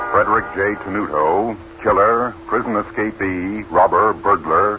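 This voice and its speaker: A man's voice amid noticeable background noise. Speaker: radio announcer. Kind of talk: old-time radio true-crime drama announcer, stern formal public-service delivery. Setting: old radio broadcast. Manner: grave, authoritative, measured.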